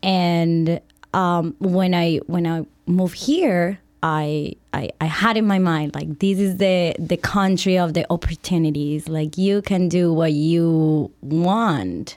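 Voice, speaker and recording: A woman speaks at a very slow pace in a Spanish accent, her intonation fairly even. The recording is very clean, with a silent background. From Colombia. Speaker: fashion designer and brand founder. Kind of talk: casual interview. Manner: halting, hesitant with fillers.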